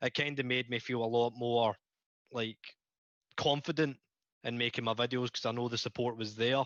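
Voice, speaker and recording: Long pauses come often as a man speaks at a moderate pace in a medium pitch. His intonation is monotone and flat, and the sound is dry and close with no echo. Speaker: YouTuber. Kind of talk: casual chat.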